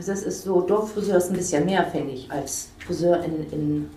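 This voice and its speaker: A woman's fairly low-pitched voice with ordinary pitch variation and audible room echo. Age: 50s. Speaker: hairdresser, salon owner. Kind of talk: casual interview. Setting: hair salon, on location.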